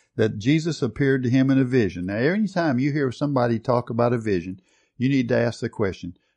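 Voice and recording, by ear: Natural-voiced reading aloud, pitch varying in an ordinary way.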